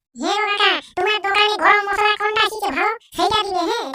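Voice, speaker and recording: A woman puts on a squeaky, cartoonish character voice at an extremely high pitch. She talks at a moderate pace with fairly even intonation. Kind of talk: rustic comic dialogue. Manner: bold, teasing.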